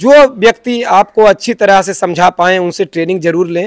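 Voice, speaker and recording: Against a quiet background, a man speaks in a high voice with a dry sound and no echo. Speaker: goat farmer and trainer; trainer. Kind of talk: interview. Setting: goat farm. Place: farm machine. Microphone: handheld.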